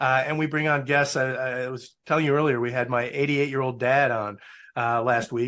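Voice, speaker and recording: In an American accent, a man with an ordinary speaking voice talks at a moderate pace, medium in pitch and fairly even in intonation. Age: 60s. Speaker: alumnus, public affairs professional. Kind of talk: interview. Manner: casual.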